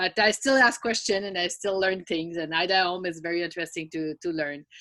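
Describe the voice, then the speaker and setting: On a very clean recording with a silent background, a woman with a French accent speaks quickly enough, at a fairly low pitch with ordinary pitch variation and a bright, sharp tone. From France. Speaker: event participant. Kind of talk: casual chat. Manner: halting.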